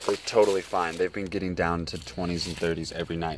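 A man with an American accent, relaxed in tone and fairly even in intonation, over noticeable background noise. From Colorado. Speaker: YouTuber, cactus grower. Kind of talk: casual video walkthrough. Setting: in a greenhouse. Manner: casual, relaxed.

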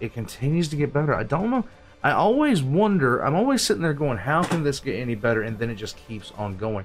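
Over light background noise, a man talks with lively intonation. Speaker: reaction video host. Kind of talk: casual reaction commentary. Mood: enthusiastic, praising. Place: home room.

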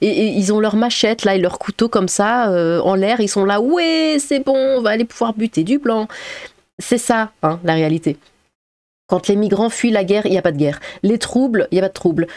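A woman talks at a moderate pace and a fairly high pitch. Her intonation is lively and her loudness very even. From Strasbourg, Alsace, France. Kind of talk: casual commentary reacting to news articles. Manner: casual, with hesitations and laughter.

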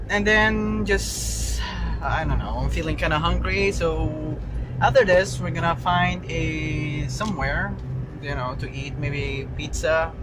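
A man speaks at a very slow pace against noticeable background noise. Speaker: vlogger. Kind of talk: casual vlog talk to camera. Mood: relaxed, rambling. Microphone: phone near.

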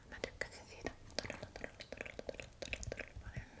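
A woman speaks in a whisper. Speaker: ASMR creator. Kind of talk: ASMR shopping haul. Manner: whispered. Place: home room.

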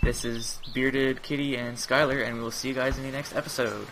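Noticeable noise can be heard behind the voice. The talking proceeds at a moderate pace. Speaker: gaming YouTuber. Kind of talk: casual gameplay commentary. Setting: online voice chat while gaming. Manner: animated.

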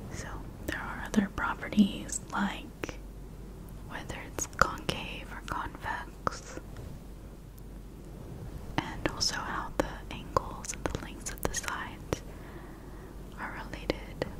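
A woman is whispering at a very slow pace, with long, frequent pauses. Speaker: ASMR creator. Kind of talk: soft-spoken educational explanation. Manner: soft-spoken ASMR voice close to mic. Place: home room. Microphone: studio mic.

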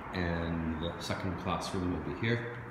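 A man's voice carries audible room echo. Loud noise fills the background. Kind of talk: casual walkthrough narration. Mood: pleased, relaxed. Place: empty room. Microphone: phone near.

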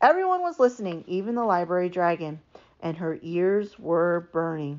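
A woman's fairly low, slightly mellow voice at a moderate pace with lively intonation

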